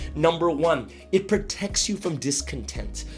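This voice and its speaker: A man speaks in an upbeat tone. Music plays behind him. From Malaysia (currently living there). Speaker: motivational speaker / pastor. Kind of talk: motivational talk to camera. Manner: upbeat, conversational.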